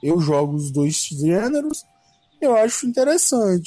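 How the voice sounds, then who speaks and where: His pitch is high for a man, swinging very widely as he talks at a fairly slow pace. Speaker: podcast co-host. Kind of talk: casual chat.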